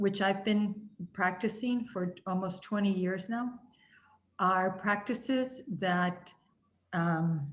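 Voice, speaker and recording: A woman speaks at a very slow pace in a medium pitch, somewhat breathy, with ordinary pitch variation. Long, frequent pauses break up her speech. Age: 60s. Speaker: spiritual healing teacher. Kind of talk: group teaching session. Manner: hesitant, many fillers.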